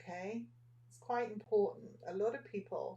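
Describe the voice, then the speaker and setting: A soft-spoken woman whispers at a fairly slow pace. She has an English accent. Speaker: nail art teacher. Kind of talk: live tutorial. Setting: Facebook livestream at a desk. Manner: soft-spoken, almost whispering. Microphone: microphone far away across the desk.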